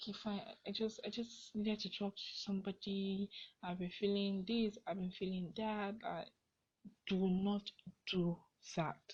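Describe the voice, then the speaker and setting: A woman with a medium-pitched, somewhat breathy voice speaks at a fairly slow pace in a monotone, flat intonation, with long, frequent pauses. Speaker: podcast host. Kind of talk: casual advice monologue.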